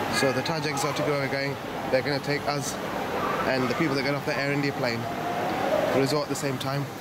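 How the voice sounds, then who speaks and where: A man speaks at a fairly quick pace. Loud background noise runs behind him. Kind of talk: casual vlog chat. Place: hall. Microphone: phone near.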